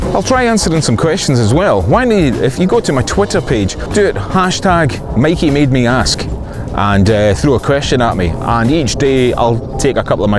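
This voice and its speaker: Over music in the background and audible room echo, a man speaks with a Scottish accent. His pitch swings very widely and he hardly pauses. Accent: Scottish (Fife). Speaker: filmmaker and vlogger. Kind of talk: casual vlog monologue. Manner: casual, dry humour, some filler words.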